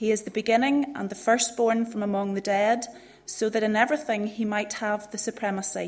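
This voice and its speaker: A woman speaks at a fairly quick pace and with fairly even intonation while noticeable background noise carries on. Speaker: scripture reader. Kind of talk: reading aloud.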